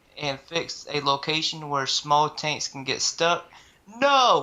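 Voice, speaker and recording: Very slow delivery in a Southern US accent. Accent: Southern drawl. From US South. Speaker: gaming video host, streamer. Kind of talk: casual chat, reading patch notes.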